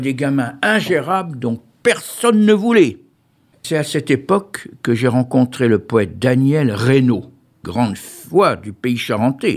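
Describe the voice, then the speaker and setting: Very slow pace with lively intonation. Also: man. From Pons area, Charente-Maritime, western France. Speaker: retired youth care worker. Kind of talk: personal testimony.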